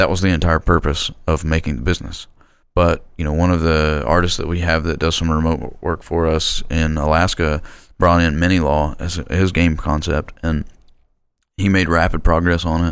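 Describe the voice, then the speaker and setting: Monotone, flat intonation at a moderate pace, with an American accent. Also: man, very deep, low pitch for a man. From rural Oklahoma. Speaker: video game designer and business owner. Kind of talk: interview. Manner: halting.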